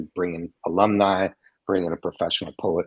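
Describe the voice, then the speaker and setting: Recorded with a dry, close sound and no echo, a man with an American accent speaks at a fairly quick pace in a very deep, low pitch. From United States. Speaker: spoken word poet, author and educator. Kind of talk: interview conversation.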